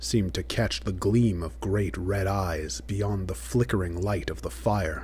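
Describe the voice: Someone does plain reading aloud with fairly even intonation.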